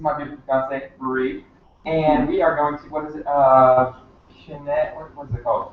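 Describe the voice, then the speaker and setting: There is noticeable background noise. A man with a fairly high pitch speaks with big swings in loudness. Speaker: network marketing distributor. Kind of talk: role-play practice. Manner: fast.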